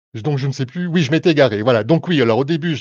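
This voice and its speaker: Lively in intonation, a man speaks with a dry, close sound that has no echo, over a quiet background. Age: 50s. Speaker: tarot reader and clairvoyant. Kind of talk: live stream explanation to viewers. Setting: live Facebook stream. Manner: hesitant, many fillers.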